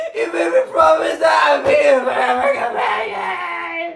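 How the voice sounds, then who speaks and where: A put-on character voice at a fairly slow pace, with clear background noise and a slight echo. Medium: stage play. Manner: breathless, overdramatic.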